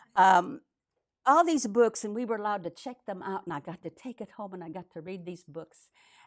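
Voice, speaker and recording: Her voice is an unremarkable speaking voice, medium in pitch, with lively intonation. The woman talks at a fairly quick pace over a quiet background. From Minnesota, US (immigrant child, arrived before first grade). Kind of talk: testimony.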